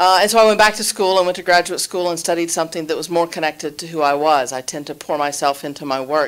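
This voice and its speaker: A woman with a Southern US accent speaks at a fairly low pitch. Her pace is very fast, with hardly any pauses and ordinary pitch variation. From Alabama. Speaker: college dean and professor. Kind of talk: panel introduction.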